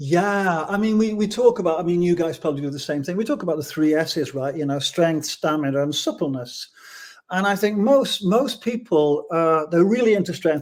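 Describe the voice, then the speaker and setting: In a very clean recording with a silent background, a man talks at a high pitch and fairly quick pace, with ordinary pitch variation. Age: 70s. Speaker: yoga instructor and author. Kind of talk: interview. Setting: podcast interview. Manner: halting, repeats words.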